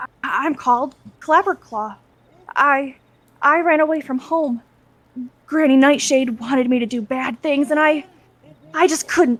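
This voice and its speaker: A woman puts on a character voice that is timid and nervous, shaky and high in pitch. She speaks at a moderate pace. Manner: timid, shaky, nervous.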